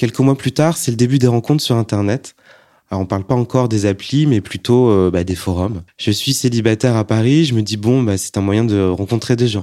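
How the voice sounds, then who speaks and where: A man's dark, mellow, medium-pitched voice at a moderate pace, with ordinary pitch variation, in a very clean recording with a silent background. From France, Annecy. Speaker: testimony speaker. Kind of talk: testimony.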